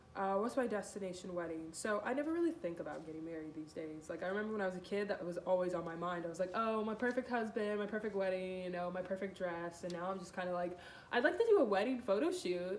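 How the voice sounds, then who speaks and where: Talking at a very fast clip with hardly any pauses, the speaker sounds animated, with audible room echo and noticeable background noise. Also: woman, medium pitch for a woman, ordinary pitch variation. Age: 20s. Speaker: model. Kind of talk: casual interview answers. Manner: loud.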